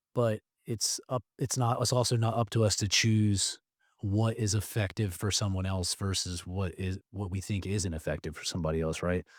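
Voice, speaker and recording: A man's fairly low voice, with ordinary pitch variation, comes through on a very clean recording with a silent background and a dry, close sound with no echo. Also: moderate pace. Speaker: army veteran. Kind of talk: casual chat. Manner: talkative.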